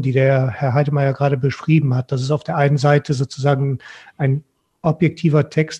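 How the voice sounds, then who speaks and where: A man's somewhat breathy, dark, mellow voice in monotone, flat intonation over a quiet background. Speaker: guest. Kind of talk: panel discussion answer. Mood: thoughtful, earnest. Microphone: headset.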